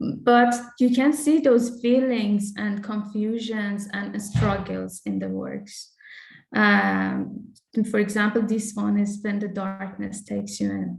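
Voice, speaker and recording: With a Persian accent, a woman speaks very slowly amid audible room echo. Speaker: artist. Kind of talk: interview. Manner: halting, with many repetitions.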